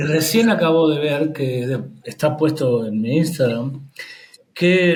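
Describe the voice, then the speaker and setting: Lively intonation colors a man's fairly high voice, with audible echo from the room. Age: 60s. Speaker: HIV peer educator and activist. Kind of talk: interview.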